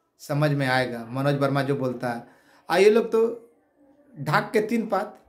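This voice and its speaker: In a room with audible echo, a man speaks in an animated tone with very wide pitch swings. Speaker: activist leader of job aspirants. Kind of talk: video address to followers.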